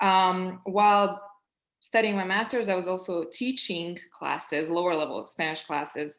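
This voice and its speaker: This woman talks at a moderate pace in a medium pitch. Her intonation stays fairly even over a quiet background. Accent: Serbian. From Serbia. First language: Serbian. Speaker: project manager, panelist. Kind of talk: panel discussion.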